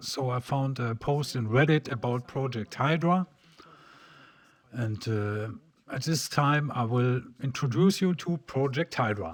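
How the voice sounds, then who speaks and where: Medium-pitched male voice with a German accent and ordinary pitch variation. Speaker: PC hardware tutorial creator. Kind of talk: tutorial. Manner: halting.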